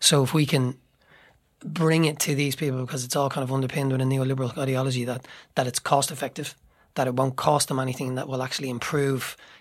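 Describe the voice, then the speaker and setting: A man with an Irish accent talks at a very fast pace in a flat, monotone delivery. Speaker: playwright and actor. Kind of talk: casual discussion.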